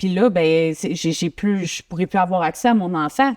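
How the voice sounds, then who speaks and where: A woman in a Quebec accent speaks at a medium pitch with lively intonation. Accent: Québécois French. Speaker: guest sharing personal story. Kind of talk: interview testimony.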